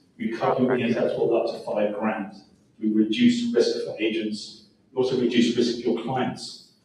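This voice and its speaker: Audible room echo and noticeable background noise accompany a man who speaks at a moderate pace. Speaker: home warranty sales representative. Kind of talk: sales pitch.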